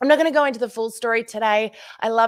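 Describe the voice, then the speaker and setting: Animated and fairly quick, the speaker has an Australian accent on a very clean recording with a silent background. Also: woman. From Australia, Tasmania. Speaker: social media trainer for direct selling. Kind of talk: conference presentation.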